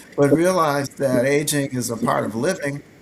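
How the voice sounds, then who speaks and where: Over noticeable background noise, a man talks at a moderate pace. His pitch varies in an ordinary way. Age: 60s. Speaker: physician. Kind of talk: health talk show discussion.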